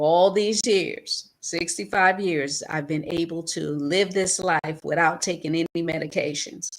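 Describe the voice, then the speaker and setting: A woman talks at a fairly slow pace with hardly any pauses, her pitch fairly low. She has an unremarkable speaking voice with fairly even intonation. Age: 60s. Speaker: talk show co-host. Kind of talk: talk show discussion.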